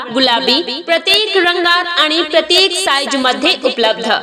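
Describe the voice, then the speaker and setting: A woman speaks in an energetic tone with a raised, projected voice over noticeable background noise. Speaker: voice-over artist. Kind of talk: shop sale promotional announcement. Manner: energetic, inviting.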